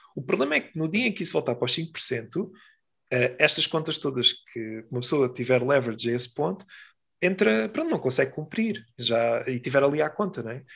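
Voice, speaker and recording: Lively intonation marks this man's fairly high voice, spoken in a European Portuguese accent. The recording is very clean, with a silent background. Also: fairly quick pace. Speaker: podcast co-host. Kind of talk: casual chat.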